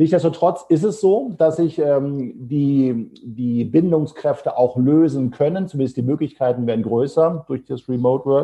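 A man with an ordinary speaking voice, medium pitch, ordinary pitch variation, and a moderate pace. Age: 50s. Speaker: HR consultancy founder. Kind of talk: podcast interview.

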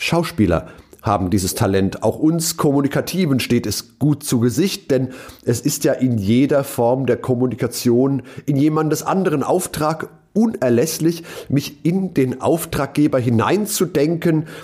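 The man's voice sits fairly high and is somewhat breathy, with lively intonation. He talks at a fairly slow pace and his loudness stays very even. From western Germany (Rhineland-Palatinate), partly South Tyrol. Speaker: keynote speaker and podcast host. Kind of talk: reading aloud his own written essay.

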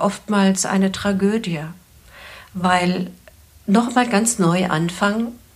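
A somewhat breathy woman's voice at a medium pitch, with ordinary pitch variation and a very slow pace. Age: 60s. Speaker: couples therapist and psychologist. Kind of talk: advice podcast conversation.

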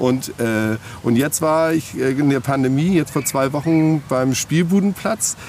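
A man talks over noticeable background noise. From Hamburg, northern Germany. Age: 50s. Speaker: festival organizer. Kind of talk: interview. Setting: outdoors in a park. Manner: halting, many filler words.

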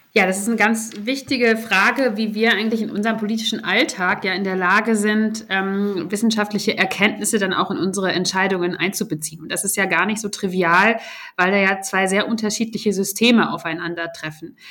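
A bright, sharp tone at a fairly quick pace with fairly even intonation. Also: woman, medium pitch for a woman. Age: 30s. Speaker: member of parliament. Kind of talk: casual chat. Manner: halting.

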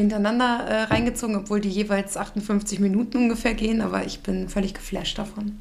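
Against noticeable background noise, a woman speaks with a fairly high pitch and monotone, flat intonation. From Germany. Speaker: podcast co-host. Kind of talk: scripted intro; casual chat.

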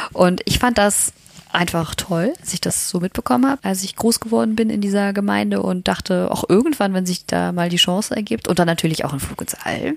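A woman with lively intonation talks fairly quickly while noticeable background noise carries on. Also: medium pitch for a woman. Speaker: astronaut trainee and mother. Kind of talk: casual interview. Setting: hotel room.

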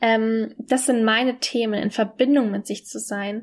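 A woman's plain, everyday voice, fairly high in pitch, with fairly even intonation at a moderate pace, on a very clean recording with a silent background. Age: 20s. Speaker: podcaster and mentor for women. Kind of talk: personal monologue. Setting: alone at home.

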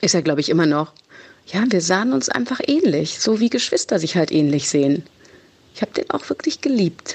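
Against noticeable background noise, a woman with a fairly low pitch talks at a fairly quick pace, keeping very even loudness while her pitch makes very wide swings. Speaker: podcast co-host. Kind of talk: casual chat. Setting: recorded voice message.

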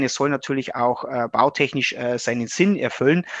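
The sound is dry and close, with no echo. A man's pace is fairly quick. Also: quiet background. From Upper Palatinate, Bavaria (Regensburg area). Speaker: engineering professor. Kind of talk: interview. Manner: halting, many fillers.

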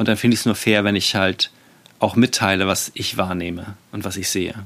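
This man's voice sits fairly low. He talks at a moderate speed. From Germany. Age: 40s. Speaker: podcast host, self-management coach. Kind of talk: solo podcast monologue. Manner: hesitant, many fillers.

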